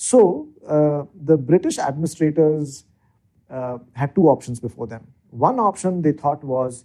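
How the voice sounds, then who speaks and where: A man with an Indian accent speaks at a fairly slow pace in a fairly high pitch, with ordinary pitch variation and a dark, mellow, somewhat breathy tone. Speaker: legislative research expert. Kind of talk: interview explanation. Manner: hesitant with filler words.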